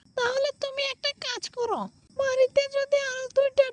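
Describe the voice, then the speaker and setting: A cartoonish character voice speaks at a fairly slow pace with an extremely high pitch. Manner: earnest, eager.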